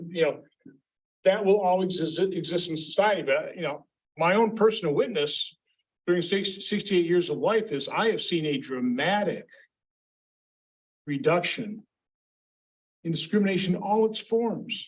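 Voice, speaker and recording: The speaker has an American accent and ordinary pitch variation. The pace is moderate, with long, frequent pauses. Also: man, high pitch for a man. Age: 60s. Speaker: panelist. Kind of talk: panel discussion. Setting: symposium panel. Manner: halting, repeats words; animated.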